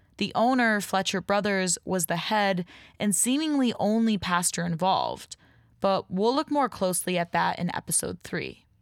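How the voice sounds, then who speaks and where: A woman with a plain, everyday voice and an American accent speaks at a medium pitch and a moderate pace with ordinary pitch variation, in a very clean, dry, close recording with no echo and a silent background. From Rochester, New York. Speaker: podcast host and creator. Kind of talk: scripted narration with interviews.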